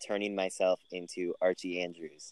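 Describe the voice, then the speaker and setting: An ordinary speaking voice at a moderate pace, with fairly even intonation and a dry, close sound with no echo. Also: man. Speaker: podcast co-host, college student. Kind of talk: casual chat. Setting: remote recording.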